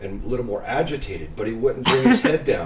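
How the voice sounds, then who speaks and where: With audible room echo and noticeable background noise, a man speaks. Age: 50s. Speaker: musician. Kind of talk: casual chat. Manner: relaxed, with many fillers and repetitions.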